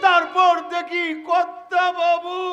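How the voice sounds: A man puts on a character voice, extremely high-pitched with a bright, sharp tone, speaking slowly in a monotone, flat delivery while faint music plays in the background.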